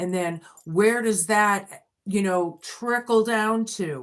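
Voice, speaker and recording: This is a normal speaking voice with ordinary pitch variation, captured in a very clean recording against a silent background. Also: woman. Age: 50s. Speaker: tarot reader. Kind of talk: tarot reading. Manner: conversational.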